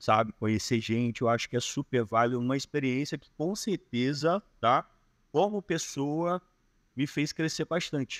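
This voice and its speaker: The speaker uses a Carioca accent at a fairly slow pace. The very clean recording has a silent background and a dry, close sound with no echo. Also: man. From Rio de Janeiro. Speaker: digital nomad. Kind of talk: podcast interview answer. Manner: reserved, introspective.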